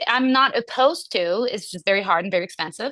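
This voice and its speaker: A woman speaks with a non-native accent. Her tone is bright and sharp. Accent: foreign accent, noticeable. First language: French. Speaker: actor. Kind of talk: audience question. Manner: hesitant.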